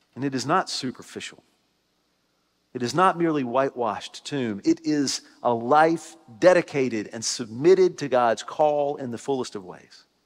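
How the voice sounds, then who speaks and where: A man at a moderate pace, with ordinary pitch variation, big swings in loudness and music in the background. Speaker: Methodist pastor. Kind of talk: sermon. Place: church. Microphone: headset.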